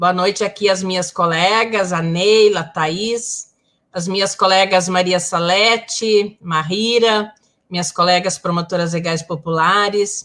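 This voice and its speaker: A woman's plain, everyday voice at a medium pitch, fairly slow and fairly even in intonation. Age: 60s. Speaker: community leader and social worker. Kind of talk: live panel discussion.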